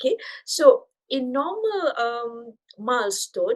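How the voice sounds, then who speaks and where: A high-pitched woman with a Malaysian accent and very wide pitch swings. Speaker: speech-language pathologist and lecturer. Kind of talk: radio interview. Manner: hesitant, many fillers.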